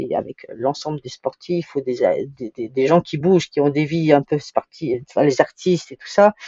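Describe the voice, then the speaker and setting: Her pitch very deep and low, a woman talks at an average speed with ordinary pitch variation. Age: 60s. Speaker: sailing project manager, skipper's wife. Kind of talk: interview. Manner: halting, frequent repetitions.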